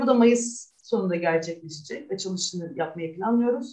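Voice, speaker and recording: In an unremarkable speaking voice, a woman talks at a moderate pace with lively intonation. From Istanbul, Turkey. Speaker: artist. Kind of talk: interview.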